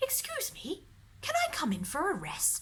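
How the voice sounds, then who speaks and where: A put-on character voice comes through over clear background noise. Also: woman. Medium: read story.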